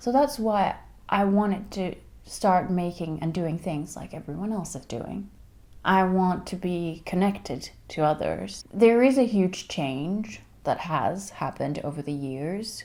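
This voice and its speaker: A woman speaks at a fairly slow pace in a dark, mellow tone with lively intonation. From Finland. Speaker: singer. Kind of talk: casual talk to camera.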